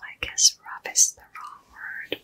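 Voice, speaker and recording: A soft-spoken woman is whispering over light background noise. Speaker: makeup creator. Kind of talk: soft-spoken makeup roleplay chat. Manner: soft ASMR whisper. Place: home room. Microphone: phone near.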